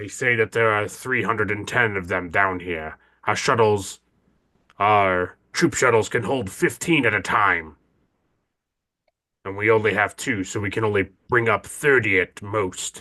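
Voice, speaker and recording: Against a quiet background, a man uses a raspy, put-on character voice with a fairly low pitch at a moderate pace. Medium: actual play.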